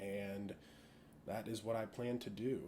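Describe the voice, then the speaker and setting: A man talks with a western Pennsylvania accent. His intonation is fairly even. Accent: western Pennsylvania American. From western Pennsylvania (Latrobe, near Pittsburgh). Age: 20s. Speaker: law student. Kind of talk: self-introduction monologue. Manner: casual, with frequent filler words.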